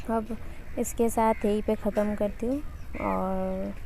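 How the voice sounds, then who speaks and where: A woman's medium-pitched voice with a dark, mellow tone and a Bengali accent. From West Bengal. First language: Bengali (speaking Hindi). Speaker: travel vlogger. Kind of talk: casual vlog narration. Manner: halting.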